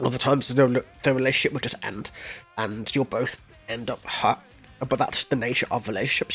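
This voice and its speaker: A man at medium pitch and a fairly quick pace, with music in the background. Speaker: music reaction YouTuber. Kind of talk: music reaction commentary. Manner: casual, animated.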